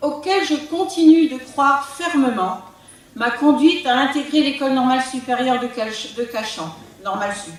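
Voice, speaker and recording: A woman's high voice with lively intonation at a fairly slow pace, with audible room echo and noticeable background noise. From Brittany, France (Côtes d'Armor). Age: 60s. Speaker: local politician, retired teacher. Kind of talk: political campaign speech. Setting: public meeting hall with audience. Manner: formal.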